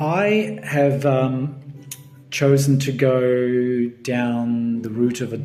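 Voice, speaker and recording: Over music in the background, a man with an Australian accent talks at a medium pitch with ordinary pitch variation. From Melbourne, Australia. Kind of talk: casual talk to camera.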